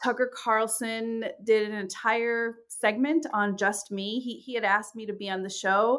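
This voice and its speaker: In an American accent, a woman with a fairly high voice speaks at a fairly slow pace with hardly any pauses, fairly even intonation and big swings in loudness, on a very clean recording with a silent background. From New York, of English birth. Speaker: professor of religious studies. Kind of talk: interview. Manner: halting, frequent fillers and repetitions.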